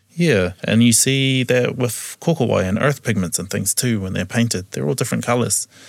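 A man with a medium-pitched voice and vocal fry speaks at a moderate pace with hardly any pauses. His intonation is lively. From New Zealand. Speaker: museum curator and taonga pūoro practitioner. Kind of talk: casual interview chat.

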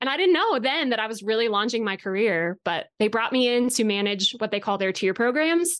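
A woman in an American accent with fairly high pitch, lively intonation and hardly any pauses. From Colorado, US. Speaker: equine industry company director. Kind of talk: casual interview chat.

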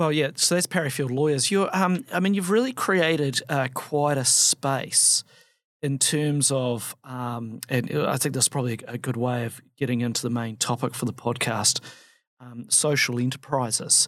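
A man with an unremarkable speaking voice talks at a moderate pace and medium pitch with ordinary pitch variation. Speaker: barrister podcast host. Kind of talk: interview conversation.

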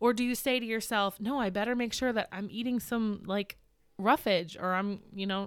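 An unremarkable speaking voice comes at a moderate pace in a very clean recording with a silent background. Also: woman. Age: 30s. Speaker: farmer and mother, podcast guest. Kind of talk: casual chat.

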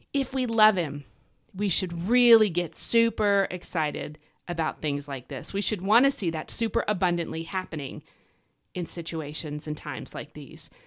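The recording is very clean, with a silent background. A woman speaks in an animated tone with lively intonation. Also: fairly low pitch for a woman. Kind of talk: Bible teaching podcast monologue. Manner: fast.

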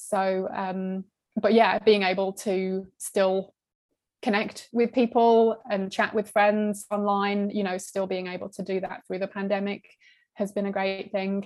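In a British accent, a woman speaks at a medium pitch and a fairly slow pace. Her intonation is monotone and flat. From UK. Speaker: horror book YouTuber. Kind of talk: casual interview.

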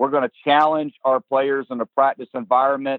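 In a Southern US accent, a man speaks with monotone, flat intonation. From South Carolina. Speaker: college baseball head coach. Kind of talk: interview.

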